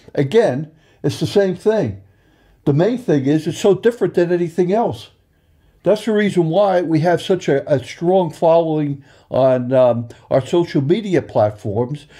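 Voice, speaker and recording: A man speaks at a fairly slow pace in a high pitch with a dark, mellow tone. His intonation is lively, and the background is quiet. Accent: New York. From Long Island, New York. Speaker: racing sponsor. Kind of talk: interview. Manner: halting, many fillers.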